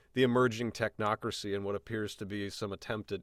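A man with an American accent has an ordinary speaking voice with a fairly low pitch and fairly even intonation. He talks at a fairly quick pace in a dry, close recording with no echo. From Illinois. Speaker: podcast host. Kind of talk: casual chat. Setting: video call.

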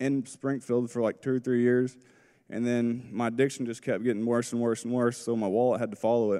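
Talking in flat, monotone intonation, a man with an American accent keeps a moderate tempo and medium pitch. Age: 30s. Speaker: rehab program student. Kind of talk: testimony. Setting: church with audience.

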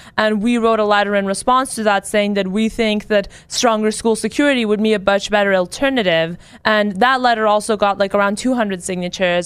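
A woman with an American accent talks at a fairly quick pace in a normal speaking voice at medium pitch. The recording is very clean, with a silent background. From California. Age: 19. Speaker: student activist. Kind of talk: radio interview.

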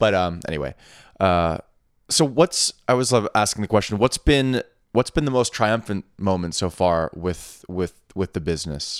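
In a very clean recording with a silent background and a dry, close sound with no echo, a man with a plain, everyday voice speaks at a fairly low pitch and a moderate pace with lively intonation. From outside the US. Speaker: podcast host and entrepreneur. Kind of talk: casual interview chat.

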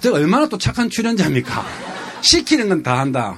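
A man speaks in an animated tone at a high pitch. Noticeable background noise runs underneath. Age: 50s. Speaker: travel show guest. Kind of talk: casual chat.

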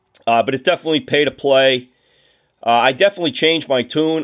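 On a very clean recording with a silent background, a man with a Boston accent speaks at a fairly quick pace with fairly even intonation. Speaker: baseball coach and historian. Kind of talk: casual interview.

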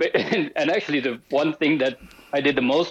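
A man speaks with a Spanish accent and lively intonation. His pace is fairly quick. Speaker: sports marketing professional. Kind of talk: casual chat.

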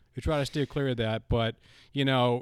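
A man with an American accent at a very fast pace and medium pitch, with ordinary pitch variation, in a very clean, silent recording with a dry, close sound and no echo. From Boston. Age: 20s. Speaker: TV production freelancer, sports fan. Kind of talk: casual chat.

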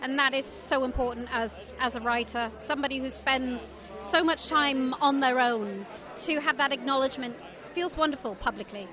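Over crowd noise in the background, a woman talks at a high pitch. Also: ordinary pitch variation, moderate pace. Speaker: author and previous prize winner. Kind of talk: short interview. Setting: awards dinner.

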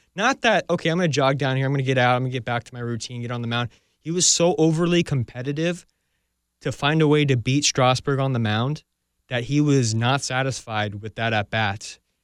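A man's normal speaking voice at a fairly quick pace, medium pitch and ordinary pitch variation, dry and close with no echo. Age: 20s. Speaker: baseball podcast host. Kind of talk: casual chat.

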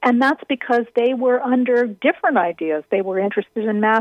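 A woman talks in a plain, everyday voice. Her pitch is fairly high, with ordinary variation. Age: 50s. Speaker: architecture critic and author. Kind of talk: interview. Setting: radio interview.

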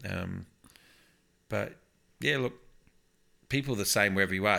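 Bright and sharp in tone, a man with an Australian accent talks at a very fast pace in a fairly low pitch with ordinary pitch variation, on a very clean recording with a silent background. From Victoria, Australia. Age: 40s. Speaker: pastor. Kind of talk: casual interview. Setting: lounge room.

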